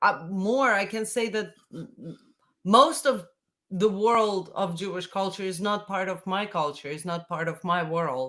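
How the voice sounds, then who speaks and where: With a Russian accent, a woman speaks in a bright, sharp tone at medium pitch. She talks fairly slowly, with ordinary pitch variation. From Latvia. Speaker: folk singer. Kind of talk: casual chat.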